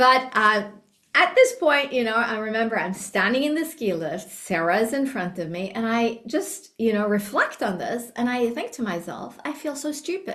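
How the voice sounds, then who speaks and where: A woman speaks at a moderate pace with hardly any pauses. Her fairly high pitch makes very wide swings. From Norway. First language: Norwegian. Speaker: business trainer. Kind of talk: training talk. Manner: casual, conversational.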